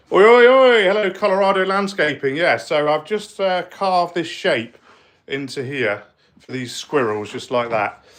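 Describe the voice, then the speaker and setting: A man with a West Country accent talks at a moderate pace in a high pitch, with very wide pitch swings. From South West England. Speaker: spray paint artist. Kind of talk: live stream woodworking demo. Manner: casual, hesitant.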